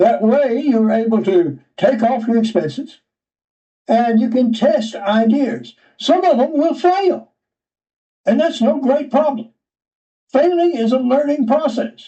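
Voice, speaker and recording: Lively intonation at a fairly slow pace, in a Georgia accent. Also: man. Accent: Southern American (Georgia). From US South. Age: 80s+. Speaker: writer and retired geologist. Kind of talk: interview.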